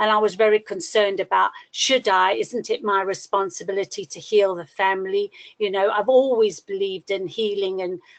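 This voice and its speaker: At a moderate pace and medium pitch, a woman speaks with fairly even intonation in a dry, close sound with no echo over a quiet background. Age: 60s. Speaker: astrology student sharing her chart. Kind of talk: personal testimony in a webinar class. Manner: halting, many fillers.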